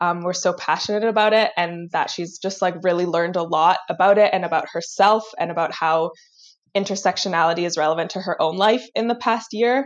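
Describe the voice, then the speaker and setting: A woman speaks at a medium pitch with a Canadian accent. Her pitch varies in an ordinary way. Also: fairly quick pace. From Vancouver, Canada. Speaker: psychology lab manager. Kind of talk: interview. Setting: video call.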